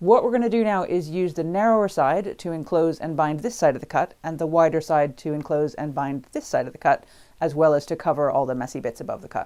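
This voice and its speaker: A woman's very deep, low voice, dark and mellow, very fast with hardly any pauses and lively intonation, on a very clean recording with a silent background. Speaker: sewing tutor. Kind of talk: tutorial.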